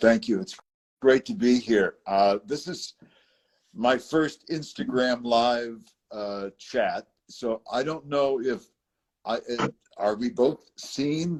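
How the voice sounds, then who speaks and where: A man with an American accent talks at a very slow pace, with long, frequent pauses. His pitch is medium with ordinary variation, and the sound is dry and close with no echo. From US, raised all over the country. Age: 70s. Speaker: interview guest, conductor and wellness center founder. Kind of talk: interview. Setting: Instagram Live video chat.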